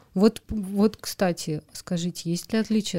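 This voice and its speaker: A woman speaks at a fairly slow pace with fairly even intonation and a dark, mellow tone. Her voice is somewhat breathy, and the sound is dry and close with no echo. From Moscow, Russia. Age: 30s. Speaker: podcast host. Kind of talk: casual interview.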